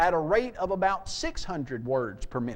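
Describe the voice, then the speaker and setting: A man's voice, high in pitch. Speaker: apologetics speaker. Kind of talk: seminar lecture. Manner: fast; animated.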